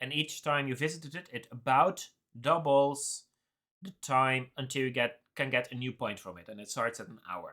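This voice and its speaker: In a Dutch accent, a man speaks at a moderate pace and medium pitch with ordinary pitch variation, a bright, sharp tone and big swings in loudness. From Netherlands. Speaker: game developer streamer. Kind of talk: live coding stream chat. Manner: hesitant, many fillers.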